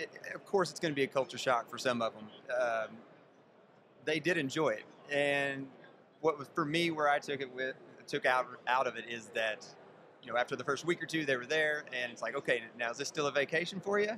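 Someone talks at a fairly quick pace over noticeable background noise. The sound is dry, with no echo. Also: man, ordinary pitch variation. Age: 40s. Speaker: farmer, reality show contestant. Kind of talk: interview. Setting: event in Las Vegas. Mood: relaxed, friendly storytelling. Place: hall. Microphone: studio mic.

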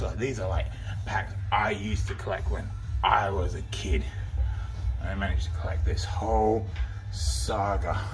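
Over faint music in the background, a man with a very deep, low pitch speaks at a fairly slow pace. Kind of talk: casual vlog chat. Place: shop. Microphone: phone near.

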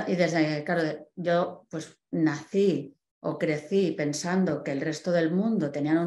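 A woman with a fairly low pitch, a dark, mellow tone and ordinary pitch variation, in audible room echo. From Spain, Barcelona; Catalonia, Spain. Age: 40s. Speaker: guest. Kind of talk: personal testimony talk. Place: home room.

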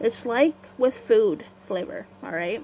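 A woman's fairly high voice at a very slow pace. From Canada. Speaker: YouTuber. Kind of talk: casual vlog monologue. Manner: halting, hesitant.

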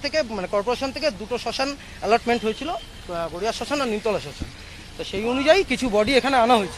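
A man speaks at an extremely high pitch in a dry sound with no echo. Noticeable background noise runs underneath. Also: ordinary pitch variation. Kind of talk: interview answer. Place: street. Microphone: handheld.

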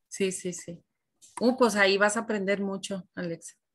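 A woman is heard against a quiet background. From northern Mexico, Chihuahua. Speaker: preschool teacher, lecturer. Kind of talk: online class lecture. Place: kitchen. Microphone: webcam.

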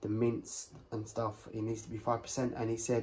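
A man speaking at a fairly slow pace, somewhat breathy, with light background noise. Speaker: home vlogger. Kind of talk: casual haul vlog chat. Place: kitchen. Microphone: phone near.

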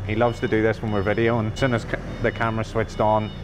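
Over music in the background, a man speaks at a very fast pace. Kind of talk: tour commentary. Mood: cheerful, jokey. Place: factory.

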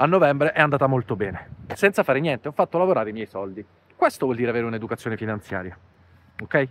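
A man at a very fast pace, with lively intonation, long, frequent pauses and a dry sound with no echo. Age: 40s. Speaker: finance YouTuber. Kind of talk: vlog monologue. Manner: animated. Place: garden. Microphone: lapel.

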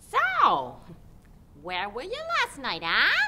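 A female-sounding voice takes on a put-on character voice. Its pitch is extremely high. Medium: short film. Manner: accusing, shrill, sarcastic.

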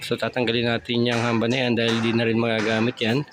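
A man with a medium-pitched voice talks over noticeable background noise. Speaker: DIY home improvement vlogger and contractor. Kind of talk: casual site walkthrough vlog. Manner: halting, many fillers.

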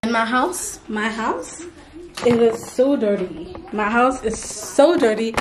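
Audible room echo surrounds a voice with ordinary pitch variation. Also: woman.

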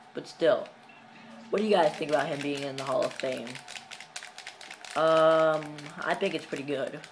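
Beneath speech at a moderate tempo there is light background noise. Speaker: gamer vlogger. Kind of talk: casual gameplay commentary. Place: home room. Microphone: phone near.

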